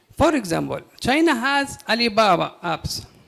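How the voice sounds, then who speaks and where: Over noticeable background noise, a man speaks at a fairly slow pace with a Yemeni accent. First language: Arabic. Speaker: audience member, businessman. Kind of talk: audience question. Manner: halting.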